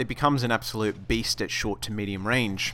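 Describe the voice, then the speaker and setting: A man with an Australian accent sounds enthusiastic. His tone is bright and sharp, with ordinary pitch variation. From Australia, Sydney. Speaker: gaming video host. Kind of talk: gaming tutorial. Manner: casual, enthusiastic.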